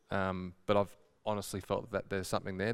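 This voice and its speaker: A man with an Australian accent speaks in a fairly low pitch, his intonation monotone and flat. The recording is very clean, with a silent background. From Horsham, Victoria, Australia. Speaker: sales rep. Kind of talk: testimony.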